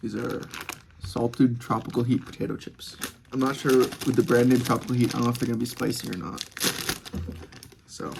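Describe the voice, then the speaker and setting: Someone with an American accent talks at a fairly quick pace, leaving long, frequent pauses, over noticeable background noise. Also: man. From United States. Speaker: student vlogger. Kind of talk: casual chat. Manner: fast.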